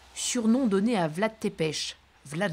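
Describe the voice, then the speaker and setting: Her pitch swings very widely as a woman speaks in a very clean recording with a silent background. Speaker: travel show presenter. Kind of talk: travel documentary narration. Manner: whispering.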